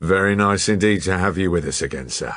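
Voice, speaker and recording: A man does a put-on character voice, raspy and very deep, talking fairly quickly with ordinary pitch variation against a quiet background. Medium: read story. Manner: stolid, plain-spoken.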